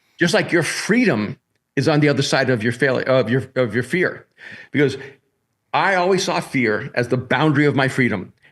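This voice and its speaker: A man speaks in a normal speaking voice at medium pitch, with lively intonation and a fairly quick pace. His loudness stays very even over a quiet background. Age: 60s. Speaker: pastor and author. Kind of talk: podcast interview. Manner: repetitive false starts.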